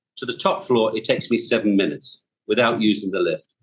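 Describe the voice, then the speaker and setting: A man talks at a fairly quick pace, his voice carrying vocal fry. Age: 60s. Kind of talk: casual chat. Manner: animated.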